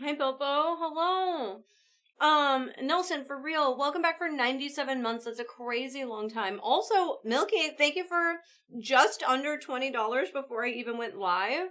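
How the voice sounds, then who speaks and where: A woman projects a raised voice at high pitch with lively intonation and a bright, sharp tone. The recording is very clean with a silent background. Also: moderate pace. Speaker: live streamer. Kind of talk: casual chat. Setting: live stream. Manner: animated.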